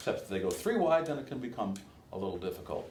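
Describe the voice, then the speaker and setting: Very wide pitch swings in a somewhat breathy man's voice. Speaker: race caller, workshop instructor. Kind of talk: workshop lecture to an audience, casual and anecdotal.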